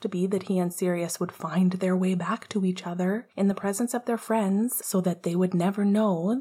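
Reading aloud in a natural voice

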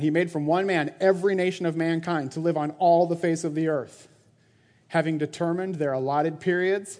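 A man with an unremarkable speaking voice talks at a fairly quick pace and a fairly high pitch, with fairly even intonation. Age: 40s. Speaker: church elder and preacher. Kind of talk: sermon. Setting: church. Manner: casual, conversational with frequent laughter.

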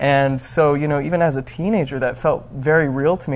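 A man's voice sits fairly high in pitch, somewhat breathy, with ordinary pitch variation. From Arizona, US. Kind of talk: interview. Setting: studio.

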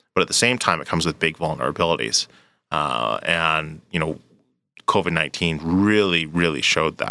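A bright, sharp tone with vocal fry and a Canadian accent, at a moderate pace with ordinary pitch variation, in a very clean recording with a silent background. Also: man, very deep, low pitch for a man. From Canada, Edmonton. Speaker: nonprofit executive. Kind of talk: interview. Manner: hesitant, many fillers.

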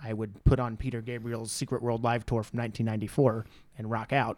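Very clean recording, silent background, and a man with a plain, everyday voice at medium pitch and a fairly quick pace. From rural Missouri. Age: 30s. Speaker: podcast guest. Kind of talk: casual chat.

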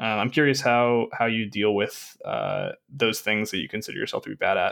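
A man with an American accent and a plain, everyday voice, medium-pitched, at a fairly quick pace with ordinary pitch variation, on a very clean recording with a silent background. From Arkansas, US South. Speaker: podcast host. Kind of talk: casual interview chat.

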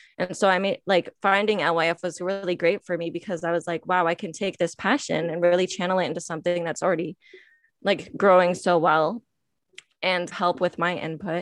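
Against a quiet background, a woman talks in an ordinary speaking voice. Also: fairly low pitch for a woman, fairly even intonation, fairly quick pace, dry, close sound with no echo. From Michigan, US. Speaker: nonprofit staff member and podcast host. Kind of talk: interview.

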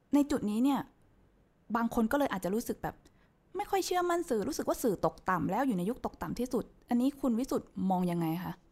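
Her pitch swings very widely. This woman talks with a high voice. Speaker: podcast host. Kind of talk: interview.

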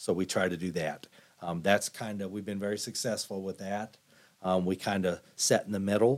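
A man speaks in an unremarkable speaking voice, fairly low in pitch with fairly even intonation at a moderate pace, on a very clean recording with a silent background. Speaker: law enforcement director. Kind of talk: interview.

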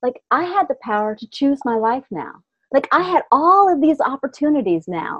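A woman with an American accent speaks at a high pitch and a moderate pace. Her pitch swings very widely and her loudness rises and falls sharply. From US Pacific Northwest, small town north of Seattle. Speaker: business coach. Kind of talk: interview.

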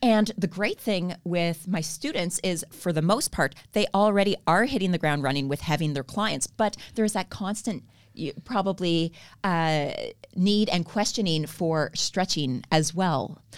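A woman with a Canadian accent and a normal speaking voice talks at a fairly slow pace and fairly low pitch with lively intonation, on a very clean recording with a silent background. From Canada. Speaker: stretch therapist and trainer. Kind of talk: casual interview.

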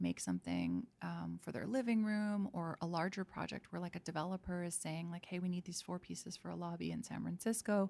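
A woman in a Canadian accent speaks at a fairly quick pace. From Canada, Vancouver. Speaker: painter and product designer. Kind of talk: casual interview conversation. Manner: halting, many fillers and restarts.

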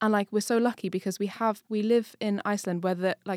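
In an English accent, a woman with a medium pitch and a dark, mellow tone talks at a moderate pace with fairly even intonation, the sound dry and close with no echo and the recording very clean over a silent background. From England. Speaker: podcast co-host. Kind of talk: casual chat.

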